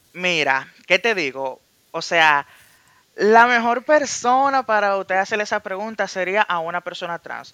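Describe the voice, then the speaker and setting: A man with a high, bright, sharp voice projects loudly at a fairly slow pace with lively intonation, in a dry, close sound with no echo. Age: 20s. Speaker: industrial psychologist guest. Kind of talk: casual chat.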